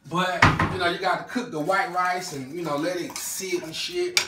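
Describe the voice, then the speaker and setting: A man talks at a moderate pace. Loud noise fills the background. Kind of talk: casual cooking vlog chat. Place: kitchen. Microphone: phone near.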